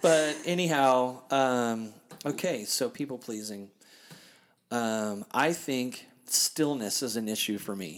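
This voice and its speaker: A man speaks at a very slow pace with a medium pitch. His pitch varies in an ordinary way. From Kansas City, US Midwest. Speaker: podcast host and DJ. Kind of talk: casual chat. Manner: loud; animated.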